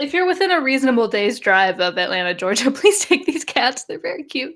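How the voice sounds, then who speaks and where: A woman with an American accent talks at a fairly quick pace in a high pitch. Her pitch swings very widely. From West Virginia. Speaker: podcast co-host. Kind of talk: casual chat.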